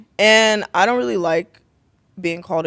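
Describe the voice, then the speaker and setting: A woman talks at a moderate pace. Her pitch is fairly low. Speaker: streamer and entrepreneur. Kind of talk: casual chat.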